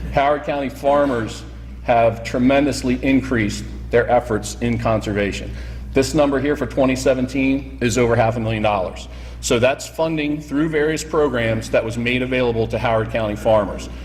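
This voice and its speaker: There is noticeable background noise and audible room echo. Over it, a man speaks at a moderate pace. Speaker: soil conservation district official. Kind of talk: slide presentation. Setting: roundtable meeting with audience. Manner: loud.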